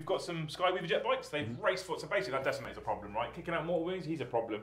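Audible room echo and light background noise surround a man with a British accent who speaks at a very fast pace and a high pitch. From UK. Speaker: tabletop wargaming YouTuber. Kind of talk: casual banter during a tabletop game. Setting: studio. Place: studio.

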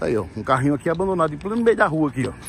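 Noticeable background noise sits behind a man's fairly high voice, which sounds dry with no echo. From Brazil. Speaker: vlogger. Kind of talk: casual vlog monologue. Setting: outdoors, riding a bicycle.

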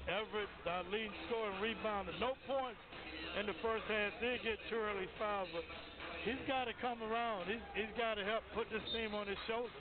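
The recording is dry, without any echo. Background noise is clearly noticeable. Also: man, moderate pace. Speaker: color commentator. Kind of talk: sports commentary. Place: stadium.

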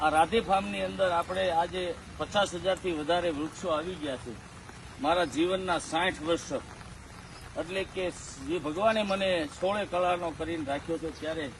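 Pitch varies in an ordinary way against noticeable background noise. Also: man. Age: 60s. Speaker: tree planter and farm owner. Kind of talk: public appeal on video.

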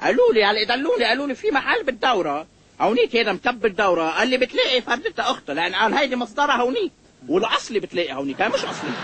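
A man's put-on character voice, extremely high and very fast, with very wide pitch swings, a fairly bright tone and a slightly husky edge

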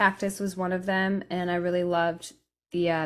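Moderate pace, fairly low pitch and monotone, flat intonation from a woman with an American accent. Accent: sounds American. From raised between England, France and Italy. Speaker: Americana musician, banjo and guitar player; guest. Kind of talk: interview, casual chat. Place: home room. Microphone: studio mic.

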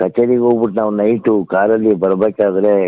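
The intonation is monotone and flat. It comes from a man with a fairly low pitch. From Mysore, Karnataka, India. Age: 70s. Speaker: mridangam player. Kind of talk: interview.

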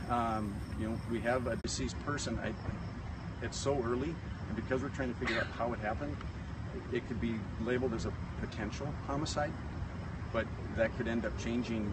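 A man speaks fairly quickly against loud background noise, and the sound is dry, without any echo. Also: ordinary pitch variation. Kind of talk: press interview answer. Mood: calm, careful, measured. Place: street.

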